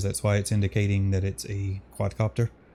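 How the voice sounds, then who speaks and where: A man speaks at a moderate pace with a dark, mellow tone that stays relaxed. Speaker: RC plane hobbyist youtuber. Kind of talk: casual flight commentary. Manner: relaxed, hesitant with fillers.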